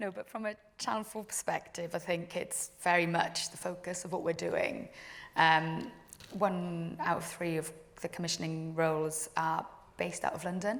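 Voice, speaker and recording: A woman with a strong Welsh accent speaks at a moderate pace in a fairly low voice. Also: ordinary pitch variation. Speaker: TV drama commissioner. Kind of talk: panel discussion.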